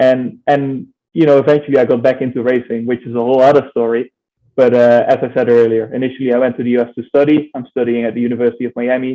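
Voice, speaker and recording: Speaking very fast, a man with a slight Dutch accent keeps a monotone, flat intonation. His voice is medium in pitch, with a dark, mellow tone. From Netherlands. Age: 20s. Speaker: racing driver. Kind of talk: interview.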